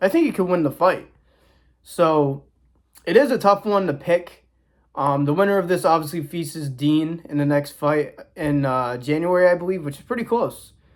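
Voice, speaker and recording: At a moderate pace, a high-pitched man speaks in a very clean recording with a silent background. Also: ordinary pitch variation. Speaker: boxing commentator youtuber. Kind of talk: casual predictions talk to camera. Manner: casual, stumbling at times.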